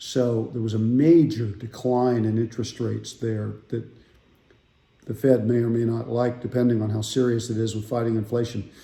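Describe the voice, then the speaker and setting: In a dark, mellow tone, a somewhat breathy man speaks at a moderate pace with monotone, flat intonation. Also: medium pitch for a man. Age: 60s. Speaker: financial advisor. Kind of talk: casual market update talk. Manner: conversational with filler words.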